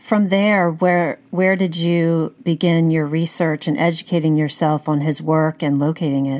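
A plain, everyday voice moves at a fairly slow pace with hardly any pauses, fairly even intonation and very even loudness, on a very clean recording with a silent background. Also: woman, fairly low pitch for a woman. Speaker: podcast host. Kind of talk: interview.

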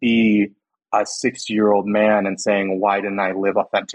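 At a moderate pace, a man talks with a Californian accent. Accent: Californian American. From US West Coast, California Central Valley (Los Banos). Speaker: public health insurance worker. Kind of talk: casual interview.

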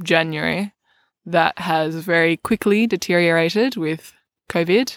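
A woman with an Australian accent speaks at a fairly low pitch and a fairly slow pace, with ordinary pitch variation. The recording is very clean, with a silent background and a dry, close sound with no echo. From Australia, Melbourne. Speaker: recurring podcast guest, host's partner. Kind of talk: casual chat. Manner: soft-spoken.

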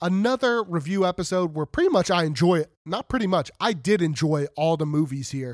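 Speaking at a fairly quick pace with hardly any pauses, a man uses a high pitch, lively intonation and an animated tone. The recording is very clean, dry and close, with no echo and a silent background. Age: 30s. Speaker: horror podcast host. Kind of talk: solo film review podcast.

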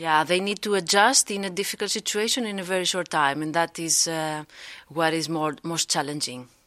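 Heard in a very clean recording with a silent background, a woman with a Greek accent speaks at a moderate pace, her fairly low pitch showing ordinary variation and a bright, sharp tone. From Greece. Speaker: psychologist. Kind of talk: interview. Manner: hesitant, many fillers.

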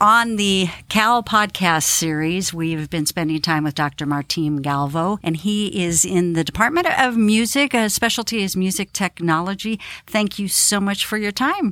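A normal speaking voice moves at a moderate pace with lively intonation and hardly any pauses. The recording is very clean, the background silent. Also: woman, medium pitch for a woman. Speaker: podcast host. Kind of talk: interview.

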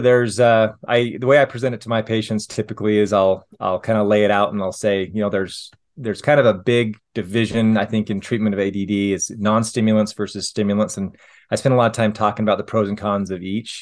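A man with a Utah accent speaks at a very fast pace against a quiet background. His pitch is fairly low and his intonation fairly even. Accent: American, Utah. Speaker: family physician. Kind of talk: interview. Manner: hesitant, many fillers.

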